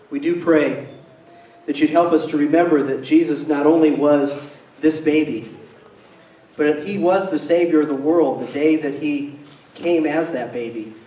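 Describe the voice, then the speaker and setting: A man at a moderate pace amid audible room echo. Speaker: pastor leading service. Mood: quiet reverent prayer. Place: church.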